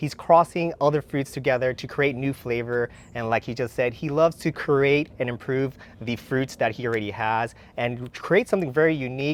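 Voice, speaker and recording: Ordinary pitch variation runs through this man's normal speaking voice at a medium pitch. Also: moderate pace. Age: young. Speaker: dragon fruit grower and channel host. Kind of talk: casual garden tour chat.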